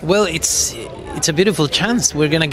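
With light background noise behind him, a man talks using ordinary pitch variation. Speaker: actor at press event. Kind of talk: interview answer. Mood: warm, enthusiastic, laughing. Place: hall. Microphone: handheld.

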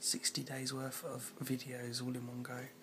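There's noticeable background noise behind this man as he talks. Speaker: vlogger. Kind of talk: casual vlog chat. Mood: annoyed in part. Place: home room. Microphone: phone near.

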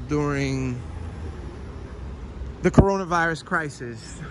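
A man talks against noticeable background noise. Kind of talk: casual vlog commentary. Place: street. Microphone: phone near.

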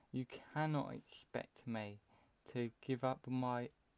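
Here a man talks with a British accent and fairly even intonation. The sound is dry and close, with no echo. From UK. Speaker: gaming video creator. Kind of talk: gameplay commentary. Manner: casual, rambling.

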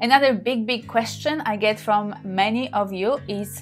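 Faint music can be heard in the background. Over it, a woman speaks at a fairly high pitch. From Poland. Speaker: sex therapist and tantra practitioner. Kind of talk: casual talk to camera. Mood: warm, open, personal. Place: home room. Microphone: phone near.

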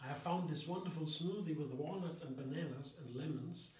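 Moderate pace with audible room echo. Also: man. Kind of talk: cooking tutorial. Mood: cheerful and enthusiastic. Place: kitchen.

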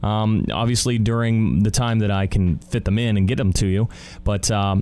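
A man's voice with music in the background. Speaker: radio imaging voice-over artist. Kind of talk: casual talk to camera.

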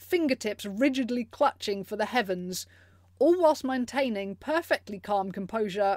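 The speaker uses an unforced reading voice whose intonation is lively.

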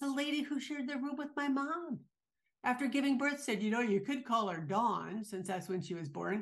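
Her pitch is high and her intonation lively. The woman keeps a moderate pace. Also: quiet background. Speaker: podcast co-host. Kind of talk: casual podcast chat. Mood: warm, amused storytelling. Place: home room. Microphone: video call.

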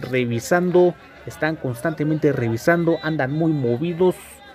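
Faint music plays in the background as the speaker talks at a fairly slow pace. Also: man. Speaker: walking tour vlogger. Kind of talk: casual vlog commentary. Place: market. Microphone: phone near.

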